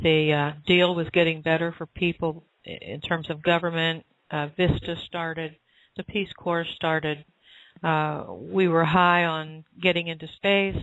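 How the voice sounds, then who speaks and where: A woman talks at a fairly slow pace and a fairly low pitch. Her intonation is monotone and flat. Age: 60s. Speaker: spiritual author and channel. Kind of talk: interview answer, spiritual Q&A. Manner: hesitant, frequent uh fillers.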